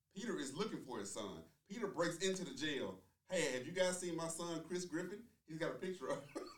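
A man with a high pitch and lively intonation at a fairly quick pace, amid audible room echo. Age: 30s. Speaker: podcast co-host. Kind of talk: casual debate chat.

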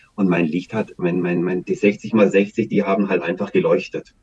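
Moving at a moderate pace, a man speaks at a fairly low pitch in a dark, mellow tone. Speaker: activist and local election candidate. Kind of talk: interview. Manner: halting.

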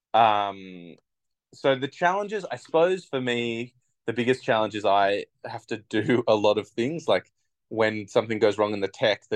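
A man with an Australian accent, medium pitch and lively intonation, in a dry, close sound with no echo over a quiet background. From Australia, Bega NSW. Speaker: theatre maker and performer. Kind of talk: casual interview.

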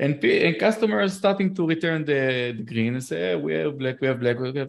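In an Israeli accent, a man talks at a fairly quick pace with lively intonation. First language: Hebrew. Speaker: podcast host. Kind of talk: casual interview conversation.

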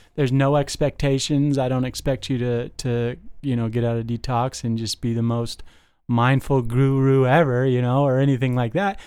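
On a very clean recording with a silent background, a man speaks in an American accent at a moderate pace. His medium-pitched voice has a dark, mellow tone and fairly even intonation. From Las Vegas, US. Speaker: detox supervisor in addiction treatment, in recovery. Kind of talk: casual chat.

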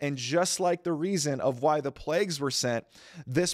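In a very clean recording with a silent background and a dry, close sound without echo, a man uses an ordinary speaking voice, fairly high in pitch, with ordinary pitch variation. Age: 20s. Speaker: pastor. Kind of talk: sermon. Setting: church service, also streamed.

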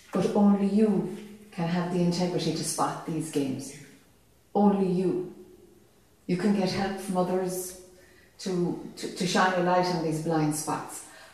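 Over noticeable background noise, a woman with a medium-pitched voice talks at a fairly slow pace, her intonation fairly even and her speech broken by long, frequent pauses. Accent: Irish. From Ireland. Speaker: spiritual teacher. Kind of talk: satsang dialogue with audience. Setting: live event with audience.

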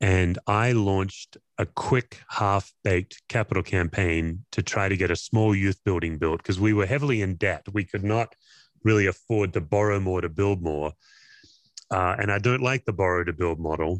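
With an Australian accent, a man speaks at a moderate pace and a fairly low pitch, with ordinary pitch variation. The recording is dry and close with no echo, and the background is quiet. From Australia, Perth. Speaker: pastor and former chaplain. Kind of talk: interview conversation.

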